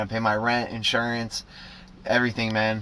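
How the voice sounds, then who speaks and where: This man has a bright, sharp tone at a medium pitch. He talks at a fairly quick pace. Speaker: vlogger. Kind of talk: casual vlog monologue. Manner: frequent fillers like um and like.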